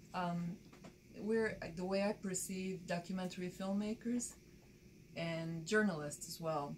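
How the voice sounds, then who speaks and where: A woman with a Bulgarian accent talks at a fairly slow pace in a medium pitch, her intonation fairly even and her pauses long and frequent. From Bulgaria, rural village; moved to Baltimore at 13. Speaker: documentary filmmaker and photojournalist. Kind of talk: interview.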